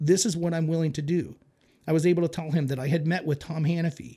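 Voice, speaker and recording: A dark, mellow tone at a very fast pace. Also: man. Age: 40s. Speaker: conservative political activist. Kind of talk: casual chat. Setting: studio.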